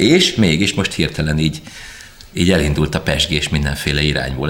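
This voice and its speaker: Music plays in the background while a man talks. His pace is moderate and his pitch variation ordinary. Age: 40s. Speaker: rock drummer. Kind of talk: interview storytelling. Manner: loud.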